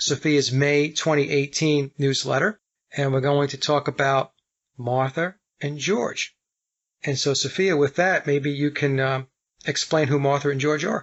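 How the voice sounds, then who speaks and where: A man in a New York accent speaks fairly slowly, his fairly high pitch held in fairly even intonation. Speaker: radio show host. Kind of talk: casual interview chat.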